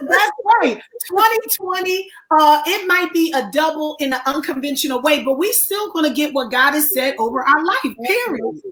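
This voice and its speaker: With noticeable background noise behind her, a woman speaks in a high voice with lively intonation. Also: moderate pace. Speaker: counselor and talk show host. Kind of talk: live online interview. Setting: livestream.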